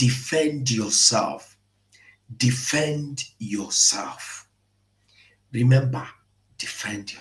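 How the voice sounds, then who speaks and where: Here a man speaks at a medium pitch with fairly even intonation. His voice is somewhat breathy. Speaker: online political commentator. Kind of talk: live-stream commentary.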